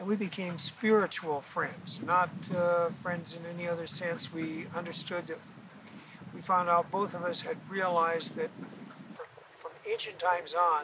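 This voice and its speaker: This man has a high voice and an American accent. He talks at a moderate pace. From US Midwest (South Dakota). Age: 80s+. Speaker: body piercing pioneer. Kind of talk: interview.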